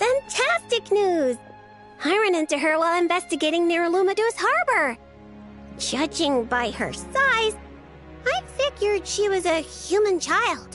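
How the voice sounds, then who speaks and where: Over clear background music, a woman performs a put-on character voice at an extremely high pitch and a moderate pace. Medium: game stream. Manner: bubbly.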